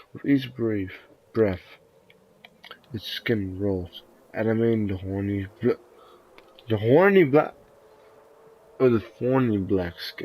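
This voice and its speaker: A man with a dark, mellow tone and medium pitch speaks very slowly, with ordinary pitch variation, big swings in loudness, and long, frequent pauses. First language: not English. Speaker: video game streamer. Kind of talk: reading game text aloud with commentary. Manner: halting, stumbling over words.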